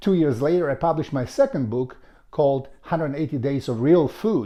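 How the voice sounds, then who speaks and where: A man with a Macedonian accent uses lively intonation in a fairly high pitch and a dark, mellow tone over a quiet background. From North Macedonia. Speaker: author and health vlogger. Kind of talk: personal testimony to camera. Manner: halting, with fillers and restarts.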